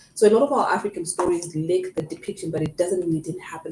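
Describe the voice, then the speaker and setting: The woman speaks at a medium pitch with ordinary pitch variation. There is noticeable background noise. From Zimbabwe. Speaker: podcast guest. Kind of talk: casual chat.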